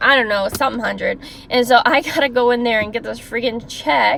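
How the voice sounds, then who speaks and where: A woman speaks loudly at a high pitch. Her tone is animated and her pace fairly quick. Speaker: former caregiver, vlogger. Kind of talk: storytime monologue.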